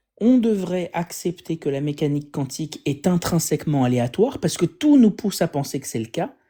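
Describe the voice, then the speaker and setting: Someone speaks at a moderate pace in a French accent, recorded very cleanly against a silent background. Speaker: atheist live streamer debunking religion. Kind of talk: live stream science commentary. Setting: live stream with guests. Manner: halting, many fillers.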